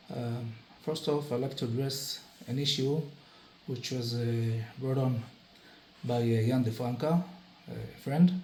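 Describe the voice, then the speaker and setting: A man with a medium-pitched voice speaks at a fairly slow pace with fairly even intonation and long, frequent pauses, over noticeable background noise and audible room echo. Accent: Israeli. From Israel. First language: Hebrew. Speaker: occult practitioner, vlogger. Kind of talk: casual explanatory monologue. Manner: halting, many filler sounds.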